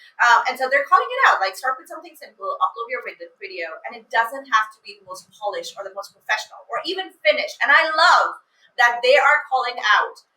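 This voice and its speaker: In a raised, projected voice, a woman talks at a high pitch and a fairly quick pace, her pitch swinging very widely. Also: big swings in loudness. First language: not English. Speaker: email copywriter. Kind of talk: casual chat.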